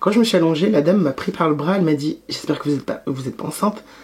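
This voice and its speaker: A woman talks at a very fast pace with very deep, low pitch and lively intonation. Noticeable background noise is present. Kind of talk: casual talk to camera. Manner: casual, hesitant.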